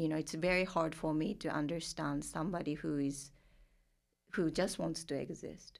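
A woman with vocal fry speaks in a very deep, low voice with fairly even intonation. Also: moderate pace. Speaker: therapist working with multicultural clients. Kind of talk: casual interview conversation.

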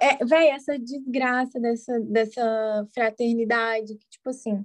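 With a plain, everyday voice, a woman speaks in a fairly high pitch with fairly even intonation over a quiet background. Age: 20s. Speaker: podcast host, psychologist. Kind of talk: casual chat.

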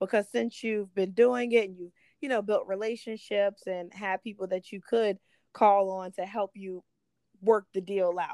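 Here is an ordinary speaking voice, a woman's, at a medium pitch. Her intonation is fairly even, and the sound is dry and close with no echo. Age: 20s. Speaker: podcast host and real estate agent. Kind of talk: interview.

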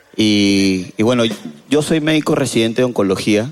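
Music plays in the background as a man talks at a moderate pace. His pitch is fairly low, and the sound is dry and close with no echo. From Peru. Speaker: resident doctor, audience member. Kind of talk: casual chat. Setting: stage with audience.

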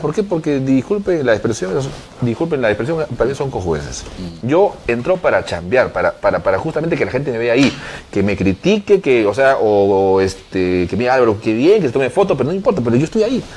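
Very wide pitch swings from a man at a medium pitch, fairly quick in pace, over noticeable background noise. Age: 30s. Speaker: mayor. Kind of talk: interview. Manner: halting, many fillers.

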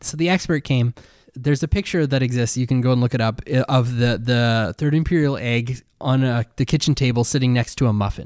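A man's normal speaking voice at medium pitch and a fairly quick pace, with ordinary pitch variation, on a very clean recording with a silent background. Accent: Canadian. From Canada. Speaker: podcast co-host. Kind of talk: casual chat.

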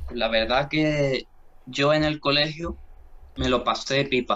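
This man speaks in a strong Andalusian accent at a medium pitch. His intonation is fairly even. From Andalusia, Spain (Jerez de la Frontera). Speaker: philosophy student and podcaster. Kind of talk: casual interview.

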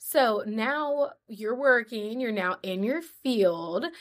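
Speaking at a very slow pace, a woman uses lively intonation and a fairly high pitch. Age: 20s. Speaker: podcast host. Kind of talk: casual interview chat.

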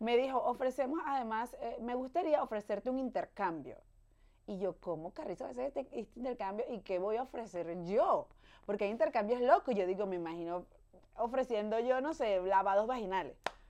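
Fairly high in pitch, a woman speaks at a fairly quick pace with lively intonation and a dark, mellow tone. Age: 30s. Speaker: podcast host. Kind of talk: casual chat. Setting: studio. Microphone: new microphone.

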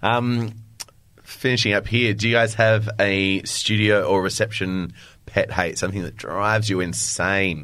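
With an Australian accent, a man talks in a fairly even intonation. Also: fairly low pitch for a man, fairly slow pace. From Adelaide, Australia. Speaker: podcast host and fitness instructor. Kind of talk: casual chat.

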